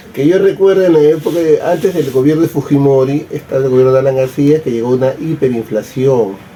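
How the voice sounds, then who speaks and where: With hardly any pauses, a man speaks at a fairly quick pace over noticeable background noise. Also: fairly high pitch for a man, ordinary pitch variation. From Peru, Lima. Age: 60s. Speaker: interviewee. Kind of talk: interview.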